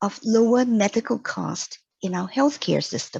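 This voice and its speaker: A woman with a non-native accent talks somewhat breathily at a fairly slow pace. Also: dry, close sound with no echo. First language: not English. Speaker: mature student presenting thesis. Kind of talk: scripted presentation. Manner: formal.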